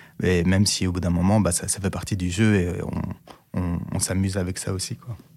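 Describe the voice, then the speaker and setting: A man's very deep, low voice with monotone, flat intonation. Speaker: diversity and inclusion expert. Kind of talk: testimony. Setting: studio. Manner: halting, many hesitations.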